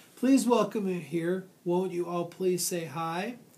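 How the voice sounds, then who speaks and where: A man puts on a shrill character voice, high-pitched, with ordinary pitch variation at a fairly slow pace. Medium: read story.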